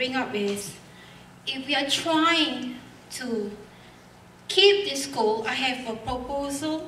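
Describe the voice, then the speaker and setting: Over noticeable background noise and audible room echo, a woman talks very slowly at a high pitch with ordinary pitch variation. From Singapore. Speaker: member of the public speaking at hearing. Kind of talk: public comment at hearing. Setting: school hall public hearing.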